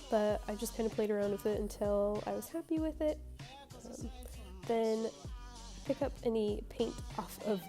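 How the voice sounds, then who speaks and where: With music in the background, this woman keeps to a moderate pace as she speaks. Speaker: hobby painter. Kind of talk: casual talk to camera.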